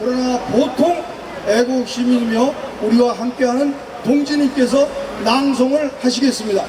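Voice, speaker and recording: Amid noticeable background noise and audible room echo, a man with an extremely high pitch speaks at a moderate pace, leaving long, frequent pauses. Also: fairly even intonation. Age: 60s. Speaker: retired army officer, event emcee. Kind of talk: rally speech emcee.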